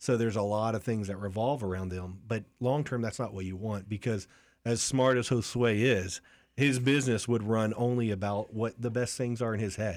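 On a very clean recording with a silent background, a man with an ordinary speaking voice and an American accent speaks at a moderate pace, medium pitch and fairly even intonation. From Lakeland, Florida. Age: 40s. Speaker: business coach. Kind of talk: interview.

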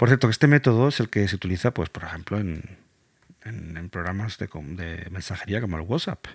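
A man with a fairly low pitch talks at a fairly quick pace with lively intonation and big swings in loudness, in a very clean recording with a silent background and a dry, close sound with no echo. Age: 40s. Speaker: podcast host. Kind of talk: educational explainer. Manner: halting, with repetitions.

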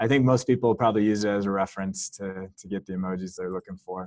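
A man has an unremarkable speaking voice with fairly low pitch and fairly even intonation. The sound is dry and close with no echo, over a quiet background. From California. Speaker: software company founder. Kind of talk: casual interview with screen-share walkthrough.

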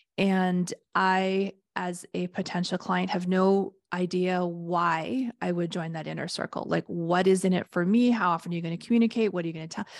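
With an ordinary speaking voice, a woman talks at a moderate pace with a fairly low pitch and fairly even intonation, in a dry, close sound with no echo over a quiet background. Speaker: podcast host and business coach. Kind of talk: casual business discussion.

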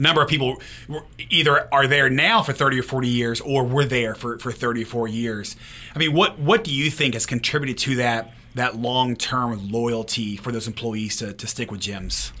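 Speaking in a normal speaking voice, a man keeps a medium pitch, a moderate pace and fairly even intonation. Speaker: podcast host. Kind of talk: interview.

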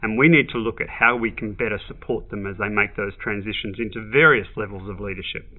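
Delivered at a very fast pace with hardly any pauses, the voice has an Australian accent and ordinary pitch variation. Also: man, fairly low pitch for a man. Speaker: business leadership expert. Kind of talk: podcast interview.

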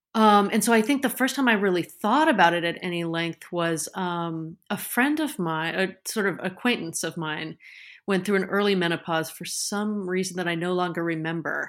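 Here a woman with an ordinary speaking voice and medium pitch talks at a moderate pace. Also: ordinary pitch variation, very clean recording, silent background. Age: middle-aged. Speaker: podcast guest. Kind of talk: casual chat.

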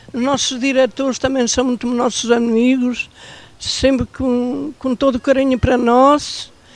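A woman's high-pitched, monotone voice with flat intonation, at a fairly slow pace over noticeable background noise. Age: 90. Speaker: elderly care-centre resident. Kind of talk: casual chat. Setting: outdoors.

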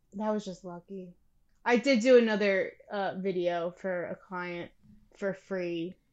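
An unremarkable speaking voice belongs to a woman with an American accent at medium pitch. She speaks at a fairly slow pace with fairly even intonation. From Pennsylvania. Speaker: videographer and producer. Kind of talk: interview.

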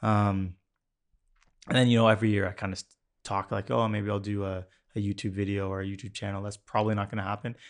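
Speaking very fast with long, frequent pauses, a man with a Canadian accent holds a flat monotone at a fairly low pitch against a quiet background. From Ontario, Canada (Mississauga). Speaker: automotive photographer and car blog founder. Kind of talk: casual interview chat. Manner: calm.

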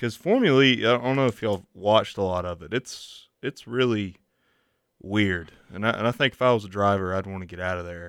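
A man speaks in a normal speaking voice at a fairly quick pace. His pitch is fairly low, with ordinary pitch variation. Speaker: college radio host. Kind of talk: radio DJ patter, announcer-style intros and outros. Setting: campus radio studio.

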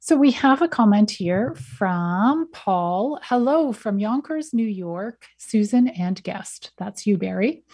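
A woman at a medium pitch speaks very slowly and somewhat breathily, with very wide pitch swings and hardly any pauses. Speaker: radio host. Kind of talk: interview.

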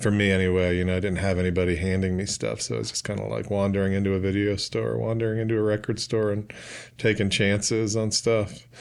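A man with a fairly low voice speaks very fast with fairly even intonation. The recording is very clean, with a silent background. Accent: American. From Brooklyn, New York. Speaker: novelist. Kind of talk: casual chat.

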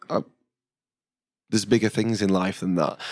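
Talking at a very fast pace, a man with a Yorkshire accent uses a fairly low pitch with ordinary pitch variation. The recording is very clean and the background silent. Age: 30s. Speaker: chef. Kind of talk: casual interview.

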